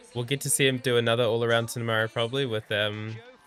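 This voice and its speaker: A man's medium-pitched, monotone, flat delivery at a fairly quick pace, with music in the background. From New Zealand. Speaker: gymnastics commentator and streamer. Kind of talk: live watch-along commentary. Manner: mumbling.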